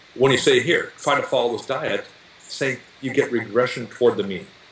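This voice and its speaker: Words arrive at a moderate pace while noticeable background noise runs underneath. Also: man. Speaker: nutrition researcher and diet book author. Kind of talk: interview.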